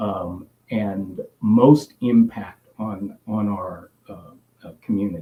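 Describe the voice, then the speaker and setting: A man with an American accent speaks at a very slow pace in a fairly low pitch. His tone is dark and mellow, with ordinary pitch variation and big swings in loudness. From US South, Biloxi, Mississippi. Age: 60s. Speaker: psychiatrist. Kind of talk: health talk. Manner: direct; halting, many fillers.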